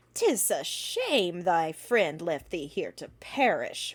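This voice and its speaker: Using a put-on character voice, a woman speaks at a very slow pace and a medium pitch. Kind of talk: archaic speech. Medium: read story.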